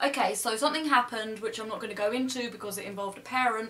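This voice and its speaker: Noticeable background noise sits behind the speaker. A woman talks at a fairly high pitch with ordinary pitch variation. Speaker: YouTuber, yoga teacher. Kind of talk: storytime monologue. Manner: loud.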